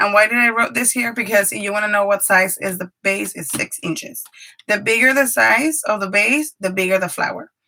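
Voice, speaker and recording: A woman speaks at a moderate pace with a Spanish accent. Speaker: paper craft YouTuber and preschool teacher. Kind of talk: live craft tutorial. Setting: live stream from home craft room.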